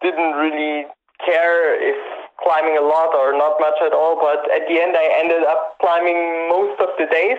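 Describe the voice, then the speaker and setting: Here a man speaks in a German accent. His pitch is high and his pace fairly slow. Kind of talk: casual interview.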